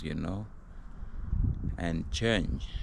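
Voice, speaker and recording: A man speaks with ordinary pitch variation in a space with audible room echo. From foreign country, not US. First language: not English. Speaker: vlogger. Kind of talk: casual vlog monologue. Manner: hesitant, many fillers.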